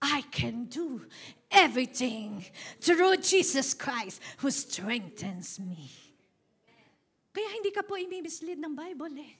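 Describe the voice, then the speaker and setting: At a very slow pace with long, frequent pauses, a woman speaks in a high pitch, her pitch swinging very widely and her loudness shifting in big swings. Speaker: pastor. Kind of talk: sermon. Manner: animated.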